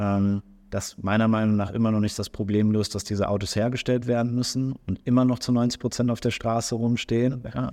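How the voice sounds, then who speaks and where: Over a silent background in a very clean recording, a man speaks at a fairly quick pace with a medium pitch. His tone is dark and mellow, and his intonation fairly even. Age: 30s. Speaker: startup founder and CEO. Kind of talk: interview. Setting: recorded on site at an industry event. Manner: hesitant, many filler sounds.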